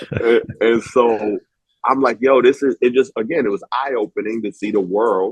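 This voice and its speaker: This man has an unremarkable speaking voice with an American accent, at medium pitch. His pace is moderate and his pitch variation ordinary. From New York (Harlem). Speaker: film writer and director. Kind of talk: casual interview chat.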